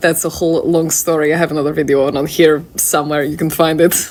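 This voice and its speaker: A woman speaks at a very fast pace with a fairly low pitch. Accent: Russian. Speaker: video creator. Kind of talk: casual, hesitant with many fillers.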